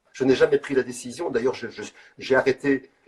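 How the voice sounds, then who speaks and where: A man talks at a very fast pace. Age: 60s. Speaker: street artist. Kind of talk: interview. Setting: live video call. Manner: halting.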